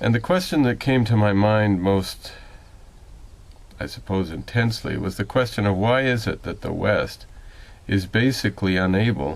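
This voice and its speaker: A fairly low-pitched male voice at a moderate pace, with ordinary pitch variation and long, frequent pauses. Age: 60s. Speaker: political commentator. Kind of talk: spoken commentary monologue. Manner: measured, with frequent hesitations.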